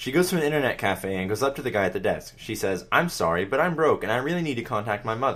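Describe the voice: This is plain reading aloud. The words are simply read out.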